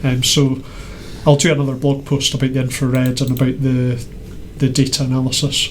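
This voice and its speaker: A man's medium-pitched, monotone, flat voice at a fairly quick pace with long, frequent pauses, audible room echo and noticeable background noise. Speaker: maker presenting weather-data project. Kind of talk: casual show-and-tell chat. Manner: halting, many fillers.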